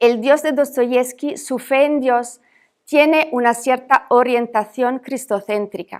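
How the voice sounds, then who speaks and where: Her voice is high-pitched for a woman, with fairly even intonation and a fairly slow pace. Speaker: academic speaker. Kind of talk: reading a lecture paper aloud.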